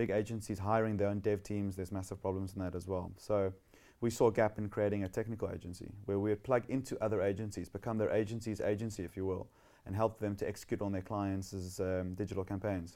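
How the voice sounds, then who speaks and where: With a South African accent, a man speaks very fast in a fairly low voice. His tone is dark and mellow, and his intonation is monotone and flat. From South Africa, Western Cape (Somerset West). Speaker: tech entrepreneur. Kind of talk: interview. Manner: casual, hesitant with fillers.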